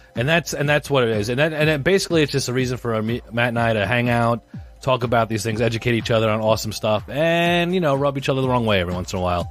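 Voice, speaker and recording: With music in the background, a man with an American accent talks at a medium pitch and a very fast pace, with lively intonation and hardly any pauses. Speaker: podcast co-host. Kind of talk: casual chat.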